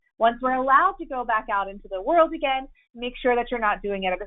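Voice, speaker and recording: Loud and high-pitched, a woman speaks in an American accent with lively intonation. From southern Illinois. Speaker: compliance expert. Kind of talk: webinar presentation. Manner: animated.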